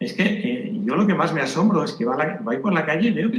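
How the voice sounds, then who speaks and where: Talking at a fairly quick pace with lively intonation, a man with a high-pitched voice is heard over noticeable background noise and audible room echo. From Spain. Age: 70s. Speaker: retired doctor. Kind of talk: conference talk. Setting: conference with audience.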